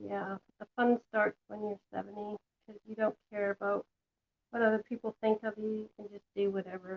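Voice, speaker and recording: A woman with a Canadian accent speaks at a moderate pace in a monotone, flat intonation, with big swings in loudness. The sound is dry and close, with no echo. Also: medium pitch for a woman. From western Canada. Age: 60s. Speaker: craft tutorial host. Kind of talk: live craft tutorial. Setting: home kitchen, live stream. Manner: casual, chatty.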